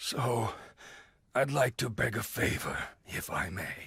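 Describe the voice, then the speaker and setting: In a put-on character voice, a man sounds raspy. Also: medium pitch for a man, fairly slow pace. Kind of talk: video game cutscene dub. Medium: short film. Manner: formal, archaic wording.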